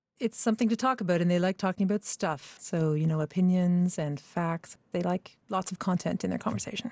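A woman with a Canadian accent has a plain, everyday voice, pitched fairly low. She talks fairly quickly with hardly any pauses and ordinary pitch variation. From Canada. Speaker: author. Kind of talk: interview. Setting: studio.

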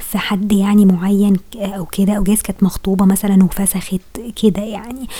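Over noticeable background noise, a woman speaks at a moderate pace and medium pitch with monotone, flat intonation. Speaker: podcaster. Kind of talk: solo monologue.

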